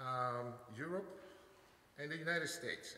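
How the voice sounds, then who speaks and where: A man speaks with ordinary pitch variation. Light background noise and audible room echo can be heard. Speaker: speaker. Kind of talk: formal introduction speech. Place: hall. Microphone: podium.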